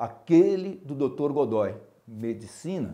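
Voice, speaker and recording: A man's dark, mellow tone with lively intonation over a quiet background. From interior of São Paulo state, Brazil. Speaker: neurologist and professor; medical professor. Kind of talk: prepared autobiographical speech. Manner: formal. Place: studio. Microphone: lapel.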